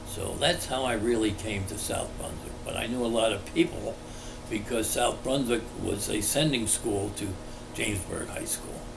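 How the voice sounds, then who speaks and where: A man with an American accent speaks at a medium pitch. The recording carries audible room echo and noticeable background noise. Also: ordinary pitch variation, moderate pace. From New Jersey, Englishtown. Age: 80s+. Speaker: local resident interviewee. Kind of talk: oral history interview. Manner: halting with frequent fillers.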